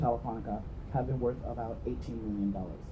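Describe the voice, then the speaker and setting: This man talks very fast, and the room echo is audible. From New York, US, after immigrating from Jamaica. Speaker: venture investor, entrepreneur. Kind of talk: conference talk.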